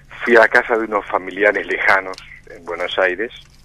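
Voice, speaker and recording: Noticeable background noise sits behind a man speaking fairly slowly at a fairly low pitch. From Uruguay, Montevideo. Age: 60s. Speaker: interview guest, former political exile. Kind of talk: radio interview testimony. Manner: hesitant, many fillers.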